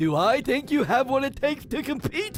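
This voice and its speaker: Over clear background music, a man talks at a moderate pace in a put-on character voice with an extremely high pitch. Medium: audio drama. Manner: stammering, questioning.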